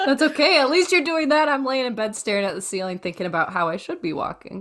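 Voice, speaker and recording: In a very clean recording with a silent background, a woman speaks in an animated tone with lively intonation. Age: 30s. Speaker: health coach and podcast co-host. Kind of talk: casual chat.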